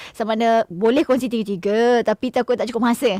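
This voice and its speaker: Heard in a dry, close sound with no echo, a woman with a fairly high pitch speaks at a moderate pace. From Malaysia, Pahang. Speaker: radio host. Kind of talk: cooking show chat. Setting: radio studio, also streamed live. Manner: animated.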